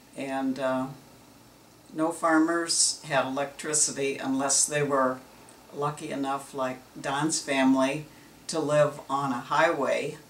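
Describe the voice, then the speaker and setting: Amid noticeable background noise and audible room echo, a woman with a very deep, low pitch speaks at a very slow pace in a monotone, flat intonation, with long, frequent pauses. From US Midwest, northern Illinois. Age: 80s+. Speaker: elderly mother telling her life story. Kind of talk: oral history interview. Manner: hesitant, with many fillers.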